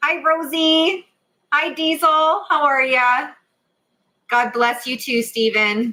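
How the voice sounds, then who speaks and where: Raised and projected, a woman's high-pitched voice with a bright, sharp tone moves at a very slow pace, with ordinary pitch variation and long, frequent pauses. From Canada (Ontario). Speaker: tarot reader. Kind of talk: live stream tarot reading with chat. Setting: live stream. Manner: casual, chatty; stuttering.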